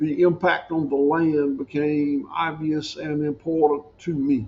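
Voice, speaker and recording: A man with a Southern US accent speaks at a fairly slow pace in a fairly high voice. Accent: Southern US (Georgia). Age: 60s. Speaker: farmer. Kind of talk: podcast interview.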